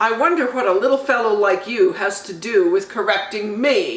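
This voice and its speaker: A put-on character voice, female-sounding and fairly high, comes out growling. It moves at a moderate pace with lively intonation. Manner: angry, indignant.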